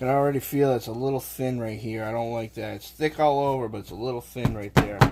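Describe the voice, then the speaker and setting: Speaking very fast with hardly any pauses in a Boston accent, the voice keeps a fairly even intonation while its loudness swings widely over noticeable background noise. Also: man, medium pitch for a man. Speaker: live streamer cooking on stream. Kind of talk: casual live-stream chat while cooking.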